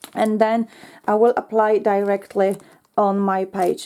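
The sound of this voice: A woman speaks at a medium pitch with fairly even intonation and a dark, mellow tone.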